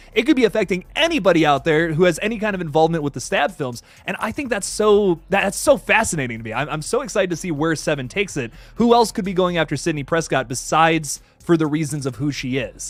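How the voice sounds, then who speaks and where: A man with a high-pitched voice and lively intonation. He talks very fast, with hardly any pauses. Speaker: horror film YouTuber. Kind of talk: live stream chat.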